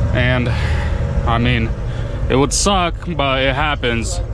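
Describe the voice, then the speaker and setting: Noticeable background noise surrounds a man's voice, which has a dry sound with no echo. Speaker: truck driver vlogger. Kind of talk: casual vlog chat. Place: car. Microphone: camera far.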